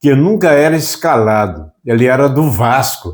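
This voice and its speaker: At a very slow pace, a man speaks at medium pitch with lively intonation. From Brazil. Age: 80s+. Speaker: YouTube presenter. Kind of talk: reading prepared trivia notes. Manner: conversational, folksy.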